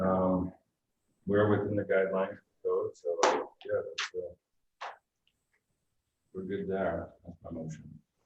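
Soft-spoken and fairly slow, a man talks with long, frequent pauses and big swings in loudness. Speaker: planning board member. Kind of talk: public meeting. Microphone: too quiet.

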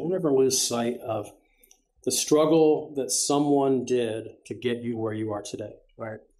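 A man's dark, mellow voice with ordinary pitch variation, at a fairly slow pace over a quiet background. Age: 60s. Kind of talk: interview. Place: studio.

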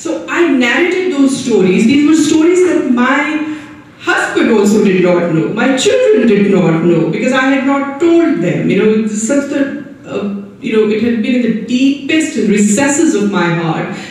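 A woman with a high voice speaks at a moderate pace with hardly any pauses, her pitch swinging very widely in a room full of strong echo. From Kashmir, India. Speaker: writer and columnist. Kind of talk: panel discussion. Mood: earnest, emotional recollection. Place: hall.

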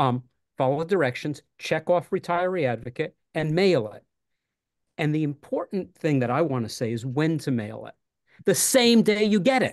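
An American accent with very wide pitch swings and big swings in loudness, over a quiet background. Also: man, fairly high pitch for a man, moderate pace. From New York City. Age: 60s. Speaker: retired teacher, union candidate. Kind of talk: casual chat. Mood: earnest, persuasive. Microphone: video call.

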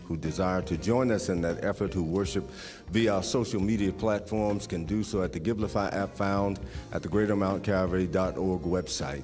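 A man with a very deep, low voice speaks over clear background music. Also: ordinary pitch variation, moderate pace. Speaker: minister leading the offering. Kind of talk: church offering appeal and prayer. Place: church. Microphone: podium.

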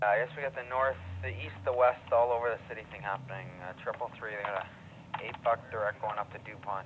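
A man with a normal speaking voice talks fairly quickly at a medium pitch, with ordinary pitch variation and big swings in loudness. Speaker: courier dispatcher. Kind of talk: clipped radio dispatch calls barking job numbers and addresses to riders. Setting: two-way radio in dispatch office. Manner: brisk, rapid-fire, pushy urging riders to hurry; terse shorthand, clipped numbers and call signs.

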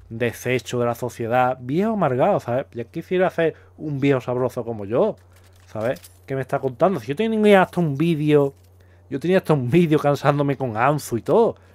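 In a very clean recording with a silent background and a dry, close sound with no echo, a man with a Castilian accent speaks at a moderate pace and a fairly high pitch, his pitch swinging very widely. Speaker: YouTuber reacting to comments. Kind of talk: casual commentary video. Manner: animated.

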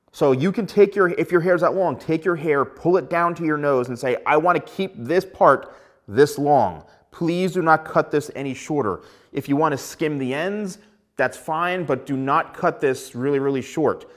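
The background is quiet as a man speaks. His pace is moderate, and his pitch varies in an ordinary way. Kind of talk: tutorial. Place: studio. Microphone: lapel.

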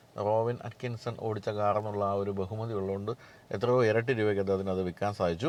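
A man's voice, dry with no echo. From Kerala, India. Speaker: automotive journalist and vlogger; automotive journalist, vlogger. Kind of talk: Q&A vlog with news and sponsor segment. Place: car. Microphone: lapel.

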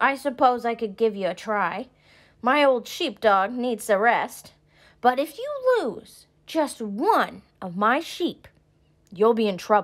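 Mumbling at a fairly slow pace, a woman uses a put-on character voice with a fairly high pitch. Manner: mumbling, grudging.

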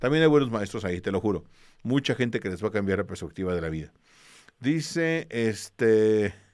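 In a quiet background, a man with a fairly low pitch talks at a moderate pace with lively intonation. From Mexico. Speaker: history teacher for exam prep; history teacher streamer. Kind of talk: online class with livestream greetings. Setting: live stream. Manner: casual, with many fillers. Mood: warm, encouraging. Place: home room. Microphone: studio mic.

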